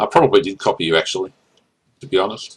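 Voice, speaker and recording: Speaking very fast, a man talks in an Australian accent. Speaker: gaming channel host and commentator. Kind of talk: casual gameplay commentary chat.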